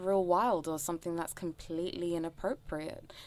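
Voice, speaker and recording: In a very clean recording with a silent background, a woman with a London accent speaks at a moderate pace. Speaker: education worker. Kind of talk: casual chat.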